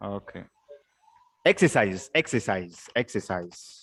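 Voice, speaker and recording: Speaking very slowly, a man uses lively intonation and a fairly low pitch. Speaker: teacher. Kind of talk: lecture. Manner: loud; call-and-response questioning.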